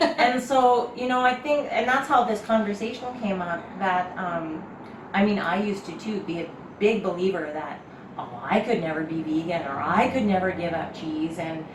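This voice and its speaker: A woman at a medium pitch and moderate pace, lively intonation, audible room echo, and noticeable background noise. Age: middle-aged. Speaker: vegan lifestyle vlogger. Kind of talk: casual interview. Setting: kitchen.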